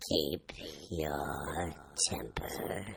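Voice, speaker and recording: A man whispering in a put-on character voice. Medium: read story. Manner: curt, blunt, contradicting.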